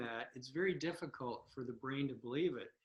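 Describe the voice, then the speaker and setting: A man talks in a normal speaking voice. His pace is moderate and his pitch variation ordinary. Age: 60s. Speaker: blindfold vision teacher. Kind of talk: interview.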